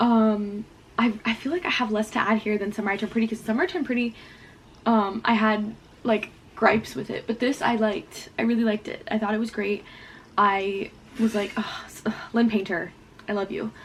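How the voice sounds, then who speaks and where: Long, frequent pauses break up this woman's fairly quick pace. She has a fairly high, somewhat breathy voice with fairly even intonation. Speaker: booktuber. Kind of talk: casual vlog chat. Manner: fast; quiet.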